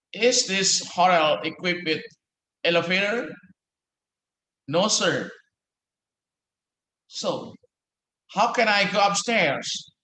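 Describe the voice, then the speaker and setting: In a raised, projected voice with a bright, sharp tone, a man speaks at a high pitch and very slow pace with long, frequent pauses, ordinary pitch variation, and audible room echo. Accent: American. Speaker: law professor. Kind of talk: lecture. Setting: office. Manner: halting.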